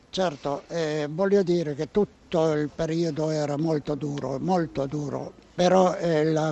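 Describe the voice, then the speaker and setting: There is noticeable background noise as a man talks very slowly at a fairly high pitch. His intonation stays monotone and flat. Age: 80s+. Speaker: Holocaust survivor and former partisan. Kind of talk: testimony. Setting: outdoors at a railway station. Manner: halting, with repetitions.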